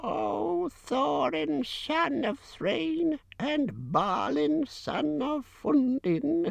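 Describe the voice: A put-on character voice moves at a very slow pace at a middle pitch, with hardly any pauses. Its pitch swings very widely.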